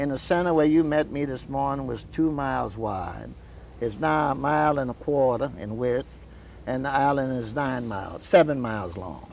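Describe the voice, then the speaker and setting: At a moderate pace, a man with a south Louisiana accent speaks at medium pitch with ordinary pitch variation. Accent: south Louisiana Cajun English. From US South. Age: 70s. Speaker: local elder. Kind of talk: interview.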